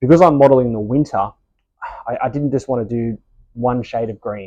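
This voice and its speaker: A man talks at a fairly quick pace with an Australian accent. His pitch varies in an ordinary way. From Australia, Sydney. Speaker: model railway hobbyist. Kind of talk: casual video tutorial. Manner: casual, with hesitations.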